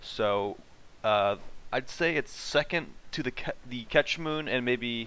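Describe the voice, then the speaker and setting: A man talks at a medium pitch in a bright, sharp tone. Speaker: gaming streamer. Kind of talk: casual gameplay commentary.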